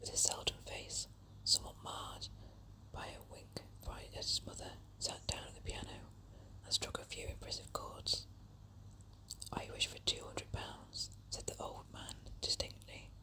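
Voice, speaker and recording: Whispering at a moderate pace, a woman makes long, frequent pauses and big swings in loudness against noticeable background noise. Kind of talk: whispered story reading. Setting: outdoors while walking in woods. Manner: whispered, soft, relaxing.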